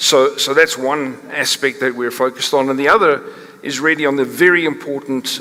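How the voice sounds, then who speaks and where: A man with a South African accent speaks at a moderate pace and a fairly high pitch, with ordinary pitch variation and noticeable background noise. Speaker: company chief executive, panelist. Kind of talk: panel discussion talk. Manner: halting, many fillers and restarts.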